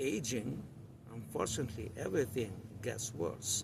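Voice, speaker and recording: A man's somewhat breathy, medium-pitched voice at a fairly slow pace, with ordinary pitch variation and audible room echo. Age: 60s. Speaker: weightlifting coach. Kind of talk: educational talk.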